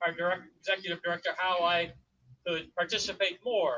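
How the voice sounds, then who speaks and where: A man projects his voice at a high pitch and a fairly quick pace. His tone is bright and sharp, his intonation fairly even. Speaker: school board chair. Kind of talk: ceremony speech. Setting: outdoor ceremony with audience, no mic. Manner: loud. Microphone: speaking without a microphone.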